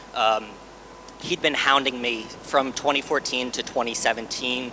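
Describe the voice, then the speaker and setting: A man with a New York accent is heard over noticeable background noise. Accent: American, New York. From New York, US. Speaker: hedge fund co-founder. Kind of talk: conference panel talk. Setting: stage with audience.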